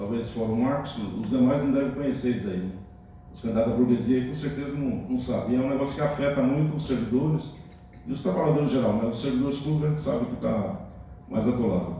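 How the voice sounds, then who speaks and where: The man's words come out very fast. An echo from the room can be heard. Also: medium pitch for a man, ordinary pitch variation. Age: 60s. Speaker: mayoral pre-candidate, retired public servant. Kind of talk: campaign interview answers. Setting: union hall with panel.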